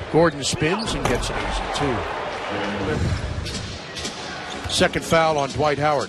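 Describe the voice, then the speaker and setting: Very slow speech from a man, with noticeable background noise. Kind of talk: live sports commentary. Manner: excitable, punchy exclamations. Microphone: headset.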